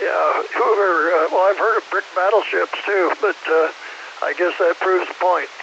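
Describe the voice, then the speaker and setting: Noticeable background noise surrounds a man with an American accent. He keeps a moderate pace and very even loudness. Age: 80s+. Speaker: former civil defense director, ham radio operator. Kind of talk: radio net conversation.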